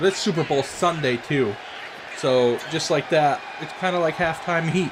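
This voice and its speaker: Crowd noise sits in the background as a man speaks at a fairly high pitch with ordinary pitch variation. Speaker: gaming youtuber. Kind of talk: gameplay commentary. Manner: casual, with fillers.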